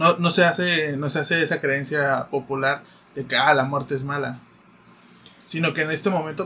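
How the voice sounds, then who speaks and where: Noticeable background noise surrounds a man with a fairly high pitch and a Mexican accent. He talks at a moderate pace with fairly even intonation. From Mexico. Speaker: podcast co-host. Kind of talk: casual chat.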